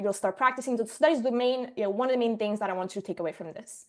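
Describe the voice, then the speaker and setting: A woman talks at a very fast pace with lively intonation and a fairly high pitch. The background is quiet. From Sicily, Italy. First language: Italian. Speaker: marketing agency owner, presenter. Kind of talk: online workshop presentation.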